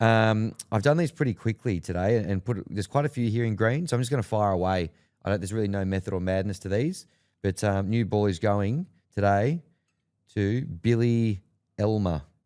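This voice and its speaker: In a very clean recording with a silent background and a dry, close sound with no echo, a man with an Australian accent speaks at a fairly quick pace in a fairly low, dark, mellow voice with ordinary pitch variation. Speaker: sports podcast co-host. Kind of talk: casual chat.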